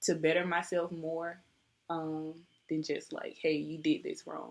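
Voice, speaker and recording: Soft-spoken, a woman talks fairly slowly in a fairly low, flat, monotone voice. The recording is very clean, with a silent background. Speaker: nursing job applicant. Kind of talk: job interview. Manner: polite, formal. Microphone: webcam recording, poor quality.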